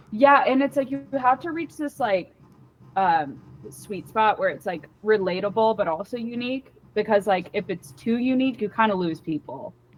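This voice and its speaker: With an American accent, a woman speaks at a fairly high pitch and a moderate pace. Her pitch swings very widely, and there is noticeable background noise. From Washington DC area. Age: 20s. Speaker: comedian. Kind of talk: casual interview chat. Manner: casual, filler-heavy.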